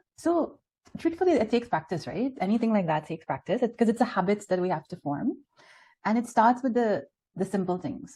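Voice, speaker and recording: Speaking at a moderate pace with very wide pitch swings, a woman with a Trinidadian accent sounds somewhat breathy and dark, mellow in tone over a quiet background. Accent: Trinidad. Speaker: spiritual speaker. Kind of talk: spiritual talk with Q&A.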